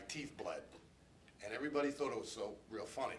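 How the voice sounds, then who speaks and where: Noticeable background noise and audible room echo surround a man's voice. He talks at a moderate pace with ordinary pitch variation. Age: 60s. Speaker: abuse survivor. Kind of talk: testimony. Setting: press conference.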